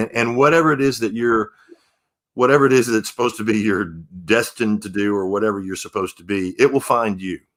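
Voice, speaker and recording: An unremarkable speaking voice from a man with an American accent, medium in pitch, with ordinary pitch variation and a fairly quick pace. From Texas, Humble near Houston. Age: 60s. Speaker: singer-songwriter. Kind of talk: interview.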